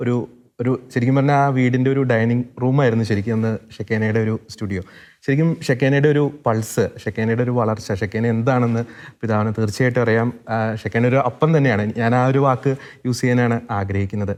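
Here a man uses a normal speaking voice with fairly even intonation. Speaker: interviewer. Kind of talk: interview. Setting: studio.

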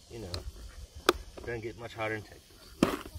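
Over loud background noise, a man talks with ordinary pitch variation in a dry recording that has no echo. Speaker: fishing vlogger. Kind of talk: casual vlog chat. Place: waterside. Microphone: phone near.

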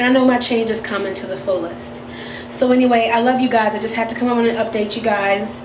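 A woman talks at a fairly quick pace. Her intonation is flat and monotone, with noticeable background noise behind her. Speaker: weight loss vlogger. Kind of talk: casual vlog chat. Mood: warm, candid. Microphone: phone near.

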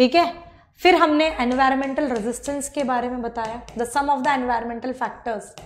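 The delivery is animated in tone and fairly slow in pace. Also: woman. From India. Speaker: online biology teacher. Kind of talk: lecture. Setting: live online class. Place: studio.

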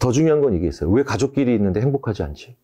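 Talking at a very fast pace, a man uses lively intonation and a dark, mellow tone against a quiet background. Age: 50s. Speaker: psychology professor. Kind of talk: interview. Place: studio. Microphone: lapel.

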